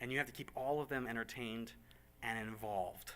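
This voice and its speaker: The recording is very clean and the background silent. His tone is bright and sharp as the man talks. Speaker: church ministry leader. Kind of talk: ministry briefing. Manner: fast.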